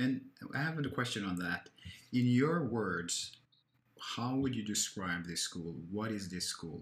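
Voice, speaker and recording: A man with a normal speaking voice uses lively intonation at a medium pitch. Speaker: podcast host. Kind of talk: casual chat. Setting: video call.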